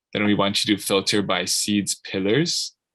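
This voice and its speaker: A man talks in an ordinary speaking voice, fairly low in pitch. The background is quiet. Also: dry, close sound with no echo. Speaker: program facilitator. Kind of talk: tutorial.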